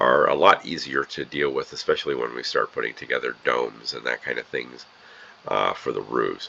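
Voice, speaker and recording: A man's voice over noticeable background noise. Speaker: Minecraft builder. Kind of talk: tutorial narration. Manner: hesitant, many fillers.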